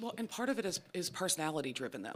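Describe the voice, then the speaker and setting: Someone with an American accent talks at a very fast pace. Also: woman. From Pittsburgh, US. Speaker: criminal defense attorney. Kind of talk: podcast interview. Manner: loud; monotone.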